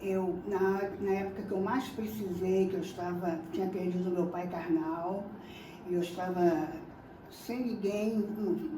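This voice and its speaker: Heard through audible room echo and noticeable background noise, a woman speaks at a fairly slow pace with a medium pitch and fairly even intonation. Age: 70s. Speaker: Candomblé initiate. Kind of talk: testimony. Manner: halting.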